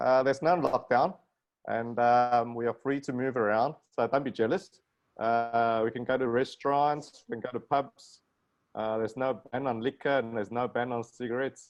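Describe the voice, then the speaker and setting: Spoken in a South African accent, the words come at a moderate pace with fairly even intonation. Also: man, medium pitch for a man. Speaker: plastic surgeon. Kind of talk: casual chat.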